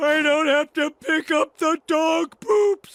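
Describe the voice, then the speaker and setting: Putting on a cartoonish character voice, a man talks at a fairly slow pace and an extremely high pitch. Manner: goofy, excitable.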